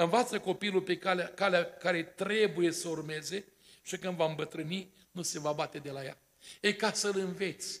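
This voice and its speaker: Moderate pace and fairly even intonation. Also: man, high pitch for a man. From Romania, Botoșani county; Romania. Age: 60s. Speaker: pastor; preacher at wedding. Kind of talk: sermon. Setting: church. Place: church. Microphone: podium.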